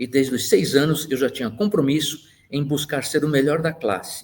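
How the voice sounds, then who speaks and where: A man's fairly high, somewhat breathy voice moves along at a moderate pace. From Brazil, Santos (São Paulo coast). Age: 60s. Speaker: engineer and university professor. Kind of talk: life-story interview monologue.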